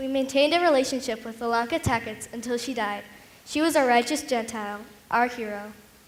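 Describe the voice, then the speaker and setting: Audible room echo colors this recording. The woman's pitch is high. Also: ordinary pitch variation, fairly quick pace. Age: 80s. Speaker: Holocaust survivor. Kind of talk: staged testimony performance.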